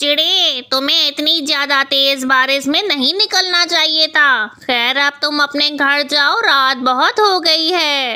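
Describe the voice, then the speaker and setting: A cartoonish character voice, female-sounding and high in pitch, moves at a fairly slow pace with hardly any pauses. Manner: commanding, stern.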